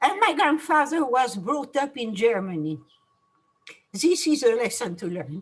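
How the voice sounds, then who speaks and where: A woman with a French accent and very wide pitch swings. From France. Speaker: Holocaust survivor. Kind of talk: testimony. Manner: halting.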